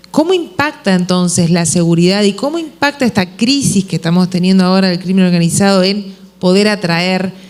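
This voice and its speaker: Fairly quick speech in a Uruguayan accent, with hardly any pauses. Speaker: panel moderator. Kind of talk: panel discussion.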